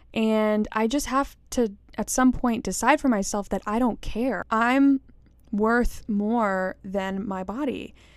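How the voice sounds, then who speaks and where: A woman's fairly high voice at a very slow pace, with fairly even intonation. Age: 20s. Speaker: podcast host. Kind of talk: casual solo monologue.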